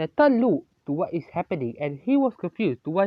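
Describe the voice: The speaker is doing plain reading aloud, and nothing much stirs behind it.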